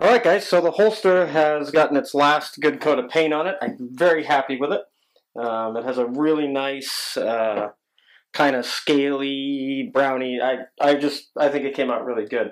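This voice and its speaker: The pace is moderate. Pitch variation is ordinary. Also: man, fairly high pitch for a man, quiet background. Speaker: DIY video maker. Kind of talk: tutorial. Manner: hesitant with many fillers.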